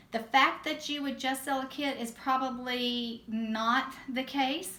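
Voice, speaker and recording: With a Southern US accent, a woman speaks at a very slow pace in a high, bright, sharp voice that is raised and projected, her intonation monotone and flat, with audible room echo around her. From US South. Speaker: direct sales team leader. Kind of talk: training talk.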